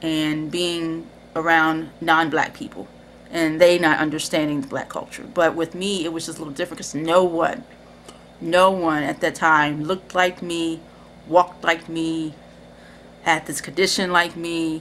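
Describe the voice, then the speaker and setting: A woman with a fairly low pitch speaks with big swings in loudness over light background noise. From Cincinnati, Ohio, US Midwest; Ohio. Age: 30s. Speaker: video creator; personal storyteller. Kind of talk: personal testimony. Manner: casual, hesitant with fillers. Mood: reflective, warm. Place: home room. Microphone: webcam.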